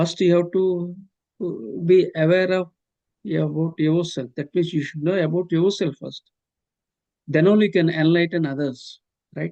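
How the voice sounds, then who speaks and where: In an Indian accent, a man with a high pitch speaks at a moderate pace, with fairly even intonation and long, frequent pauses. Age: 60s. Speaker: professor and author. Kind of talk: interview. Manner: halting, many fillers.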